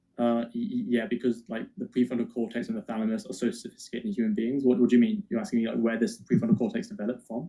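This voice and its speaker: A man with an English accent and a dark, mellow tone talks at a very fast pace at a medium pitch, with very wide pitch swings and hardly any pauses. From England. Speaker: atheist debater. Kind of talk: heated debate.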